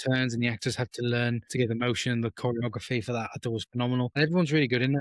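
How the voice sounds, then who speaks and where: A man talks at a very fast pace and a medium pitch. His intonation is monotone and flat. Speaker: film review podcast co-host. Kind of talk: casual chat. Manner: halting.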